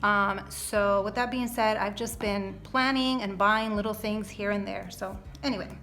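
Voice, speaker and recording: With audible room echo, a woman of medium pitch talks at a moderate pace in a monotone, flat intonation. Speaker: budgeting vlogger. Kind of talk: casual budgeting tutorial. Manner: chatty, many fillers.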